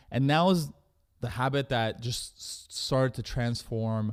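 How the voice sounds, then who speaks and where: A man's voice, very cleanly recorded against total silence behind him. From Canada. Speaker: entrepreneur. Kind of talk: interview. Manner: fast.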